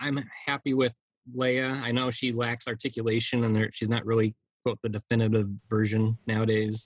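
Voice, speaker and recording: This is a man with an ordinary speaking voice. He talks at a moderate pace and medium pitch. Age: 40s. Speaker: toy collector. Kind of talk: casual chat.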